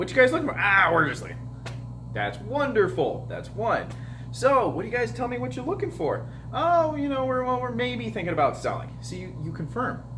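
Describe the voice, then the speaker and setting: Music plays in the background as a man speaks, with audible room echo. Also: fairly quick pace. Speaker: real estate brokerage co-owner training a new agent. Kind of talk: one-on-one training session. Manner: fast; animated.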